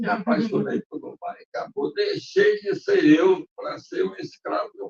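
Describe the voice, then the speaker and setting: The speech moves at a very slow pace. The sound is dry and close with no echo. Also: man. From Ukraine. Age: 80s+. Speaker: sailor and navigator. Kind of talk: public talk. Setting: museum talk with live audience. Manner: casual storytelling.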